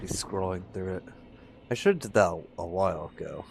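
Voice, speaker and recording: Over noticeable background noise, a man talks fairly quickly in a very deep, low pitch. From United States. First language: not English. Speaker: video game streamer. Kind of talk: live gameplay commentary. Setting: live stream. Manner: casual, conversational.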